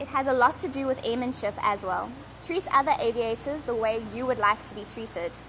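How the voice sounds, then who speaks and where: Lively intonation from a woman with a high pitch, at a fairly quick pace amid noticeable background noise. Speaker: helicopter pilot. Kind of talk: prepared speech.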